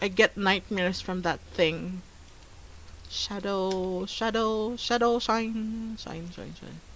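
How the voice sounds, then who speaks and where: A woman at a very slow pace, medium in pitch, with a non-native accent and fairly even intonation. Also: big swings in loudness. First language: not English. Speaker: art livestreamer. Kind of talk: casual livestream chat while drawing. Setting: livestream. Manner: hesitant, repeating words.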